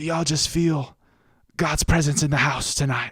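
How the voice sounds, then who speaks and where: This is a put-on character voice with a raspy sound. Its pitch sits in the middle. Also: moderate pace. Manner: warm, inviting, hushed.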